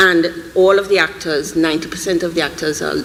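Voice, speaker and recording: Noticeable background noise sits behind this woman's voice. She speaks at a moderate pace with a Trinidadian accent and a fairly low pitch. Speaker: animation filmmaker, panelist. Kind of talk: live panel discussion. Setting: stage with audience. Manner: animated.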